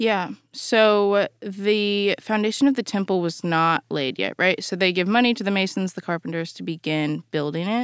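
A woman with an unremarkable speaking voice talks at a moderate pace and medium pitch, with ordinary pitch variation and a dry, close sound with no echo. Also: hardly any pauses, very clean recording, silent background. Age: 20s. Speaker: university student and former podcast intern. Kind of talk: casual Bible study discussion. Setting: podcast studio.

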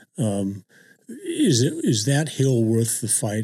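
This man's voice is somewhat breathy, with a dark, mellow tone and medium pitch. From immigrant family, grew up in California. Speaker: university system chancellor. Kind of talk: casual conversation. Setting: office.

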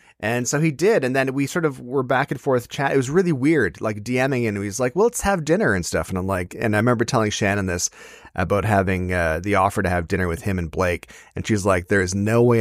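Against a silent background on a very clean recording, a man with a normal speaking voice talks at a fairly quick pace. His pitch is fairly low and his intonation lively. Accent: Canadian. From Ontario, Canada. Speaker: comedian and author. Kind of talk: casual interview.

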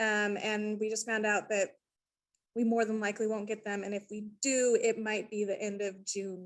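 With an American accent, a woman speaks at a fairly high pitch. Her intonation stays monotone and flat. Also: moderate pace. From US Mountain West, Idaho/Wyoming. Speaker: painting contractor. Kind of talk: video call question. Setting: video call.

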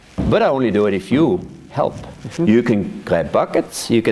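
A man speaks with a Swiss German accent at a medium pitch. Noticeable background noise runs under his voice. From Switzerland, Thurgau. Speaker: vineyard manager. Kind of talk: oral history interview. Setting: at his farm.

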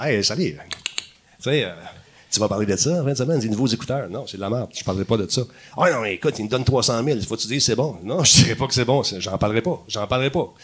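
A man with a medium pitch talks at a very fast pace with lively intonation. There is noticeable background noise. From Quebec, Montreal (LaSalle). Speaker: TV host and gaming personality. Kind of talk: casual chat. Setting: stage with audience.

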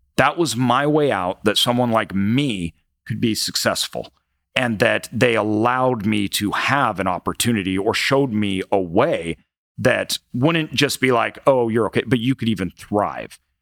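A man in an ordinary speaking voice, medium pitch, ordinary pitch variation and a fairly slow pace, with a dry, close sound with no echo in a very clean recording over a silent background. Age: 30s. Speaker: entrepreneur and investor. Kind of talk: interview. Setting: live event venue.

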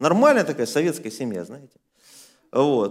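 Vocal fry marks this man's speech. Behind him the recording is very clean and completely silent. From former Soviet Union. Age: 40s. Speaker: pastor. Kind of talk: sermon.

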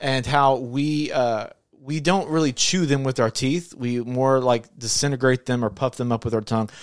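Male speech at a moderate pace and medium pitch, in a normal speaking voice. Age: 30s. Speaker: podcast host. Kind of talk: casual chat. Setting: studio.

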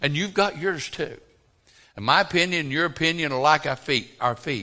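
A man with a fairly high pitch and a bright, sharp tone talks at a moderate pace, his pitch swinging very widely, with vocal fry. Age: 60s. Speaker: pastor. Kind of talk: sermon. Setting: church. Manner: animated.

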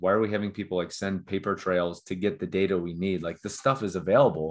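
This man has an American accent and a fairly low pitch with ordinary variation. He speaks at a very fast pace. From Cincinnati, Ohio, US Midwest. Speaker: startup founder. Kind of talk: interview.

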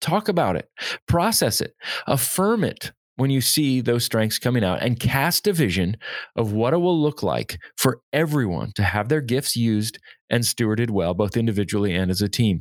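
A man with an ordinary speaking voice, medium pitch, lively intonation, very even loudness and a moderate pace, in a dry, close sound with no echo and a very clean recording with a silent background. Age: 40s. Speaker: podcast host, leadership consultant. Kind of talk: solo podcast monologue.

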